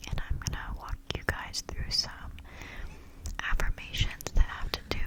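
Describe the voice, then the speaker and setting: A woman whispers fairly slowly while noticeable background noise carries on around her. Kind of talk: personal growth talk with affirmations, casual talk to camera. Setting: outdoors noise in background, neighbors' children and music. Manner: soft-spoken, ASMR-style, reflective.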